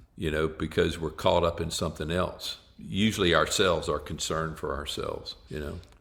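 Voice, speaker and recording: With hardly any pauses, a man gets through his words at a moderate pace. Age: 60s. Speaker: psychologist and author. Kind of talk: podcast interview.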